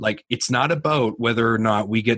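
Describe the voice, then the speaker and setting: With a Canadian accent, a man uses a normal speaking voice at a medium pitch, moderate pace and ordinary pitch variation over a quiet background. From New Brunswick, Canada. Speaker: business owner. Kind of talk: interview.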